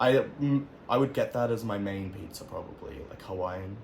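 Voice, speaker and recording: A man speaks at a moderate pace in a medium pitch, his voice somewhat breathy with ordinary pitch variation. His loudness swings widely, and room echo is audible. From Australia. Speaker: interviewee. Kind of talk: casual interview. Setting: at home.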